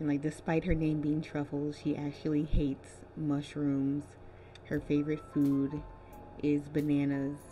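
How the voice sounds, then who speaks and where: Over music in the background, a woman talks at a fairly slow pace in a very deep, low pitch with monotone, flat intonation. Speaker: digital artist. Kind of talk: casual draw-and-chat voice-over. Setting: home room with heater noise.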